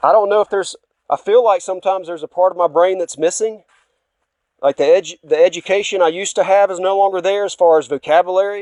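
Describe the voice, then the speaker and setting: A man's high voice at a very fast pace, with fairly even intonation. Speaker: religious speaker. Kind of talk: personal testimony. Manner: halting.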